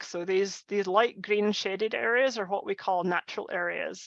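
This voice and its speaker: A woman with a Scottish accent speaks at a medium pitch with ordinary variation, her tone bright and sharp. The sound is dry and close with no echo, over a quiet background. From Scotland. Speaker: conservation scientist. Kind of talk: lecture. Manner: halting, many fillers.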